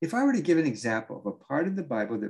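The voice has vocal fry and an American accent. Its pitch swings very widely. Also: man. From Southern California (Orange County). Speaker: Bible teacher and author. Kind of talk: reading aloud from own book.

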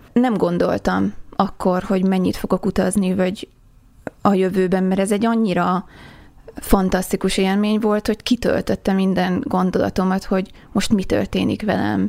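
Her voice has a dark, mellow tone and a medium pitch. The woman keeps a moderate pace with monotone, flat intonation. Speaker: traveller. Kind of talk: interview. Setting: studio.

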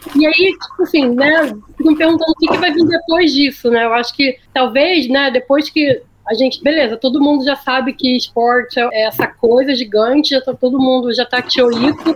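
At a moderate pace and with hardly any pauses, a woman with a high voice speaks with very even loudness and ordinary pitch variation over noticeable background noise. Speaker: agency planning director. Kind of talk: casual chat. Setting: remote call from Austin, Texas.

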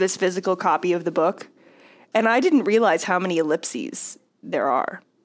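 A woman talks in a plain, everyday voice with an American accent, at a fairly quick pace. Her intonation is lively, and the recording is very clean with a silent background. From US South. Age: 20s. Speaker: podcast co-host. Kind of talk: casual chat.

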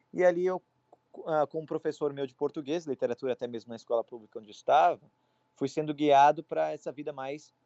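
Speaking in a plain, everyday voice, a man goes at a fairly quick pace with a fairly high pitch, fairly even intonation and big swings in loudness. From Brazil. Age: 20s. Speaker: college student. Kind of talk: casual interview.

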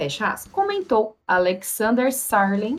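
A woman with a fairly high pitch speaks at a fairly slow pace. Hers is a plain, everyday voice. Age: 30s. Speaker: podcast co-host. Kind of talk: casual news chat.

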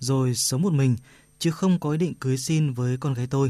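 Over a quiet background, a somewhat breathy voice with a dark, mellow tone shows ordinary pitch variation. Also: man.

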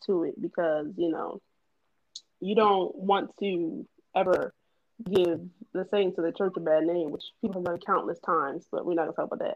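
It is a normal speaking voice. A woman talks at a moderate pace and medium pitch with ordinary pitch variation. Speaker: podcast co-host. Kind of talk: casual group discussion, faith-based.

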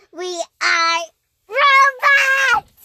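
Shouting in a shrill, put-on character voice, a woman fills the clip. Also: extremely high pitch for a woman. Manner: screaming, shrill.

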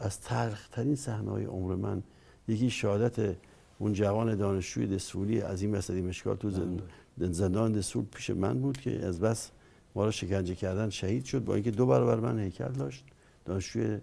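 Quick-paced and fairly low in pitch, a man speaks with a dark, mellow tone and vocal fry. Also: ordinary pitch variation. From Iran, Dezful (Khuzestan). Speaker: former political adviser, university professor. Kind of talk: interview.

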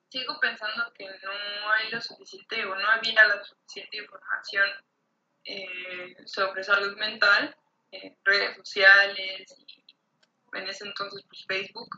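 In a normal speaking voice of medium pitch, a woman speaks at a fairly slow pace with fairly even intonation and big swings in loudness. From Mexico. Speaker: artist. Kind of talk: casual chat.

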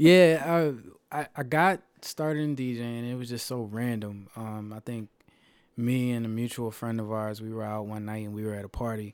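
A man with an American accent speaks in a normal speaking voice at medium pitch, moderate pace and ordinary pitch variation. The recording is very clean, with a silent background. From Philadelphia, US. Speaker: DJ and IT project manager. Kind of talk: interview.

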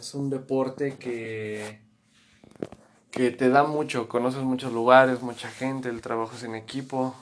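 Flat, monotone intonation in a man's voice of medium pitch. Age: 20s. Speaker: former American football player. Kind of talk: interview.

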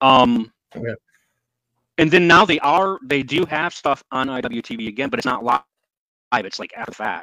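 A man talks with lively intonation and a bright, sharp tone in an American accent. His long, frequent pauses come through in a dry, close sound with no echo. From Michigan, US. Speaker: wrestling podcast co-host. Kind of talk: casual chat.

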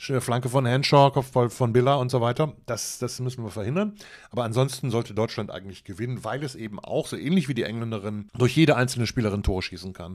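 Barely pausing, a man races along at a very fast pace with ordinary pitch variation. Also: medium pitch for a man, very clean recording, silent background. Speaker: football podcaster. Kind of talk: solo podcast commentary. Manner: casual, chatty.

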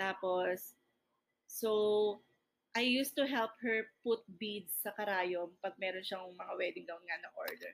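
Speaking very slowly, a woman has a fairly high pitch. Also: ordinary pitch variation. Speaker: podcast co-host, entrepreneur. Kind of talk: casual chat. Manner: talkative. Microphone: built-in laptop microphone.

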